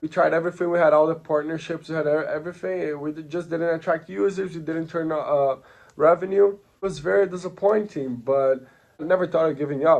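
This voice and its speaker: A man with a Portuguese accent and a fairly high pitch, at a fairly quick pace with ordinary pitch variation. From Brazil. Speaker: entrepreneur. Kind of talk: personal story pitch.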